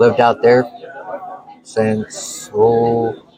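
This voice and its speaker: Noticeable background noise behind a male speaker with an American accent. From California. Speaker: truck driver and former firefighter. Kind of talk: casual chat. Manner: hesitant, with many fillers.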